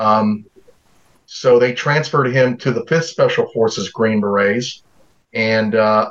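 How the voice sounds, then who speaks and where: A man talks with an American accent at a fairly slow pace. He has an unremarkable speaking voice, medium pitch and fairly even intonation. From US South, North Carolina. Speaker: Coast Guard veteran. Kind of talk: casual chat.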